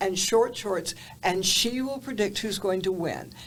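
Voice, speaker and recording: Speaking fairly slowly in a Southern US accent, a woman keeps her pitch at a medium level. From US South, Atlanta, Georgia. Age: 80s+. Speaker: TV journalist. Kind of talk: interview storytelling.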